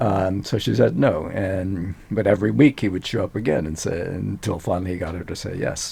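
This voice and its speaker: Speaking with an American accent, a man uses a very deep, low pitch and a dark, mellow tone, moving at a fairly quick pace with hardly any pauses, very wide pitch swings and vocal fry. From US South, Louisiana (Cajun, Eunice). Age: 70s. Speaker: neuroscientist. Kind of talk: interview. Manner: hesitant, many fillers.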